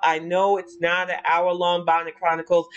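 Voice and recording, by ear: The pace runs fairly quick. The tone is clear and smooth.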